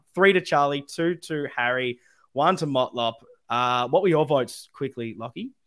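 A speaker with an Australian accent talks with ordinary pitch variation on a very clean recording with a silent background. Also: man, fairly high pitch for a man, moderate pace. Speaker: podcast host. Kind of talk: live podcast chat about football. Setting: live YouTube stream.

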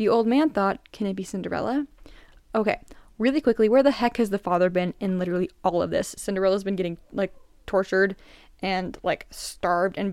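This woman has a normal speaking voice at a medium pitch, with ordinary pitch variation and a fairly quick pace. The recording is very clean, with a silent background and a dry, close sound with no echo. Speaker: podcast host. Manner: chatty and casual in intros, with self-deprecating laughs.

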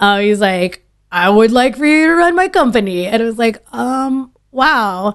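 Against a quiet background, a woman speaks slowly-ish at a fairly high pitch, her voice making very wide pitch swings. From Dallas, Texas suburbs (born Philippines). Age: 30s. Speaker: sommelier. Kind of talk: casual interview.

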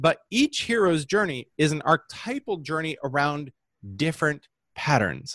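A man with an ordinary speaking voice talks at a moderate pace and fairly high pitch with lively intonation, in a dry, close sound with no echo on a very clean recording with a silent background. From US Midwest, Holland, Michigan. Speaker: business messaging coach. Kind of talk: interview.

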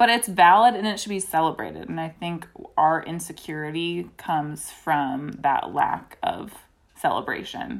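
A woman with an American accent and an unremarkable speaking voice, fairly low in pitch, at a moderate pace with ordinary pitch variation. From US South, Greensboro, North Carolina. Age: 20s. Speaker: podcast guest sharing coming out story. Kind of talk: casual interview, personal testimony.

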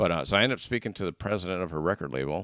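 A man with an American accent talks very fast with vocal fry. The sound is dry and close with no echo, on a very clean recording over a silent background. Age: 50s. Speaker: podcast host and salesperson. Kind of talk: casual interview chat.

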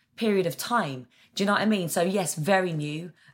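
A woman talks with an Essex accent at a fairly quick pace. Her intonation is lively. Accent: southern English (Essex). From Essex, England. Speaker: actor. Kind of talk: casual interview chat.

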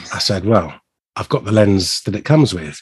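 A man speaks with a fairly low pitch and a somewhat breathy voice. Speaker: podcast co-host. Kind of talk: casual chat.

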